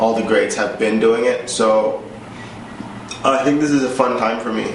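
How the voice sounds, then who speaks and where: The recording of a man carries audible room echo and noticeable background noise. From Jamaica. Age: 20s. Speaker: photographer. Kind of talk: interview. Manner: casual, hesitant with fillers.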